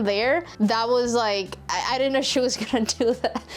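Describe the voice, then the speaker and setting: Ordinary pitch variation in a Spanish accent. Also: woman. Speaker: DIY YouTuber. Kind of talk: casual Q&A chat. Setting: cold workshop shed.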